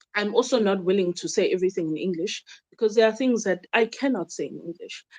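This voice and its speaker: Speaking at a very fast pace, a woman with a South African accent uses a medium pitch and ordinary pitch variation in a dry, close sound with no echo. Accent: South African, Zulu-speaking. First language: Zulu. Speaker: traditional healer and YouTuber. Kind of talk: casual monologue to viewers, Q and A. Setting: home video recording during load shedding. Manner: code-switching English and Zulu, hesitant with fillers.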